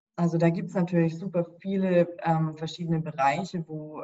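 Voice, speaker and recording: A woman speaks in a monotone, flat intonation. Her pitch is fairly low. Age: 30s. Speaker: sleep scientist. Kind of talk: interview.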